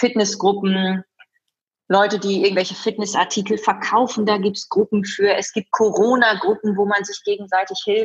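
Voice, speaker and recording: In a medium pitch, a woman talks with monotone, flat intonation. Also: moderate pace. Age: 30s. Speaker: event host and fitness trainer. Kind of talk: interview.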